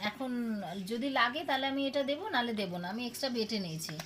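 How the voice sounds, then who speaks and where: Noticeable background noise behind a woman with a high pitch. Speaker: home cook, mother of the channel owner giving the voice-over. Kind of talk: cooking vlog narration. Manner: casual, explanatory, friendly.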